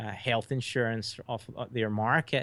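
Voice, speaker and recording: In an American accent, a man delivers his words fairly quickly. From Scotland, Hamilton. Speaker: documentary filmmaker. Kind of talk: interview.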